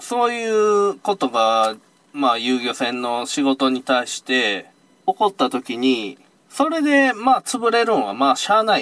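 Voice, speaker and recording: A man's fairly slow speech at a fairly high pitch, with very wide pitch swings and a dry, close sound with no echo. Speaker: fishing charter boat operator leaving a security job. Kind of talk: casual chat.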